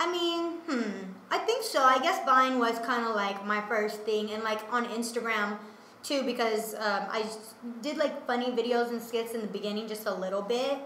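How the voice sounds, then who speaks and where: Over noticeable background noise and audible room echo, a woman with a fairly high voice talks at a moderate pace with ordinary pitch variation. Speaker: musician and comedian. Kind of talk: casual interview chat.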